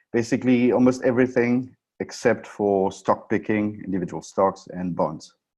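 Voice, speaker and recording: Against a quiet background, a man talks in a French accent at a medium pitch. His pace is moderate and his pitch varies in an ordinary way. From France. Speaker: options trading presenter. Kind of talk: webinar presentation. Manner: halting, many fillers.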